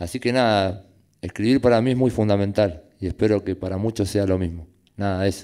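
A man talks at a fairly quick pace in a fairly low pitch. His tone is dark and mellow, his intonation fairly even, and the background quiet. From Argentina, Fuerte Apache (Greater Buenos Aires); Argentina. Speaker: prison university student and writer; interviewee. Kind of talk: panel talk at public event. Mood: reflective, earnest. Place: hall. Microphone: podium.

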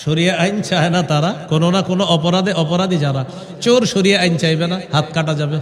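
This man has a high pitch, fairly even intonation and very even loudness. Noticeable background noise and audible room echo are present. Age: young. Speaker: Islamic preacher. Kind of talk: sermon.

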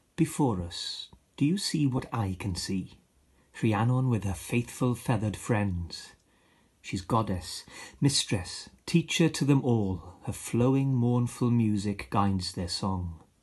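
Against a quiet background, a man with a Welsh accent speaks very slowly at a medium pitch. His voice is somewhat breathy, with lively intonation. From Wales, Aberaeron area. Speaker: poet and actor. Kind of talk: poetry reading. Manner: expressive.

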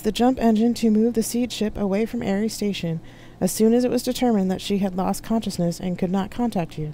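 Reading aloud in a natural voice, the speaker lets the pitch vary by an ordinary amount.

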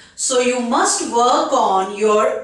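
A woman with an Indian accent speaks at a very slow pace with lively intonation, against a quiet background with audible room echo. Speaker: English exam coach. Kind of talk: tutorial. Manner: direct, instructive. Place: studio.

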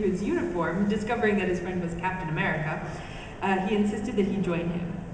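The recording has audible room echo and noticeable background noise. The pitch variation is ordinary. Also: woman. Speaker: fan panelist in costume. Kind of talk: reading aloud. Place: hall. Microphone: camera far.

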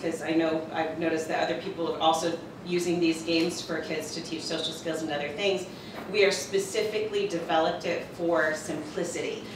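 Noticeable background noise and audible room echo surround a woman speaking at a fairly low pitch with fairly even intonation. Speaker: conference presenter. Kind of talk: presentation talk. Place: classroom. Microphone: camera far.

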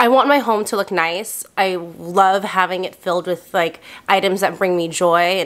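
The woman's pace is moderate as she talks. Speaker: lifestyle youtuber. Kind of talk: casual vlog chat. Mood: candid, confessional. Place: home room.

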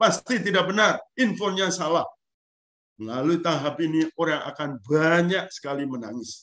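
Over a quiet background, a man talks at a moderate pace and fairly high pitch, his tone bright and sharp. He sounds animated, with lively intonation. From Eastern Indonesia, Lembata (Flores region); Eastern Indonesia. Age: 60s. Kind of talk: lecture. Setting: video call. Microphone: video call.

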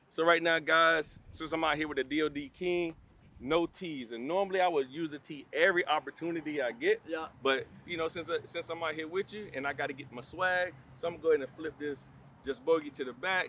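A man with an American accent, fairly high-pitched and fairly quick, with big swings in loudness, in a dry sound with no echo and light background noise. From South Florida (Hollywood, Florida); Florida. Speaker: retired NFL player. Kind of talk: casual chat on golf course. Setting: outdoors on golf course. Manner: animated.

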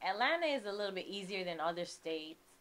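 Her speech comes in a New York accent from a woman. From New York, the Bronx (born in Kingston, Jamaica). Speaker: realtor and music manager; podcast guest. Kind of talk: casual interview. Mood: relaxed, reflective. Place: studio. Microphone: studio mic.

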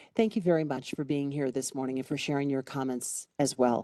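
Dark, mellow female voice with a slight Chicago accent, dry and close with no echo, over a quiet background. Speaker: county commissioner chairing meeting. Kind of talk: public meeting chairing. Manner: formal.

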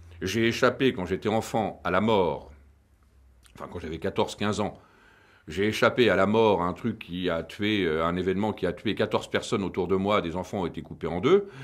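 The recording is very clean with a silent background. A man speaks at a moderate pace in an ordinary speaking voice with a fairly low pitch. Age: 50s. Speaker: film director. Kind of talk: interview.

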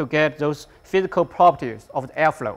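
A man at a moderate pace, his pitch varying in an ordinary way. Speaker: instructor. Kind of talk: tutorial. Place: workshop. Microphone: lapel.

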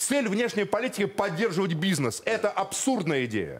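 A man talks at a moderate pace. His pitch is high for a man. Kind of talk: political debate speech. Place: studio. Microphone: lapel.

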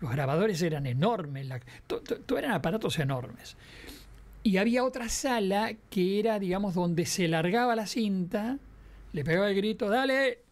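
With lively intonation, a man speaks at a moderate pace in a high pitch. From Uruguay. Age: 70s. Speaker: veteran radio and TV broadcaster; interview guest. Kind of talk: interview. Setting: radio studio. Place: studio. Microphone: studio mic.

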